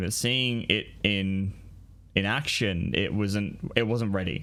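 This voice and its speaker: Music plays in the background as a man with an Australian accent talks at a fairly low pitch with ordinary pitch variation. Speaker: podcaster. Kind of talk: casual chat. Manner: halting, many fillers.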